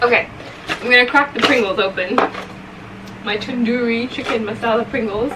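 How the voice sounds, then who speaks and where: Against noticeable background noise, a woman with a fairly high pitch speaks at a moderate pace with fairly even intonation and long, frequent pauses. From England, then Saudi Arabia from age twelve. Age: 20s. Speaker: food vlogger. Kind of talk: mukbang Q&A chat. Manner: casual, chatty; quiet, near whisper.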